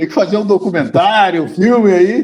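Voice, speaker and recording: Moderately paced male speech, high in pitch and lively in intonation. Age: 70s. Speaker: journalist. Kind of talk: interview.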